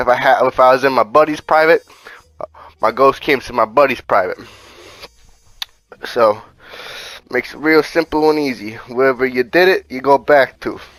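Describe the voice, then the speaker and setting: Speech at a moderate pace with ordinary pitch variation, broken by long, frequent pauses, in a dry, close sound with no echo. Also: man, medium pitch for a man. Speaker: gaming youtuber. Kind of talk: gameplay tutorial. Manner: casual, profane.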